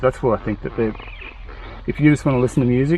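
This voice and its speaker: A man mumbles quietly at a medium pitch while noticeable background noise carries on around him. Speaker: motorcycle enduro vlogger. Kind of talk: casual product review chat. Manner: mumbling, quiet talker.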